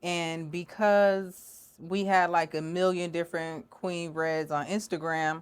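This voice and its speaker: In an American accent, a woman speaks very slowly with hardly any pauses and a fairly low pitch. Her intonation is monotone and flat, on a very clean recording with a silent background. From Rochester, New York, raised by North Carolina family. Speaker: rap artist. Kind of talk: casual interview chat.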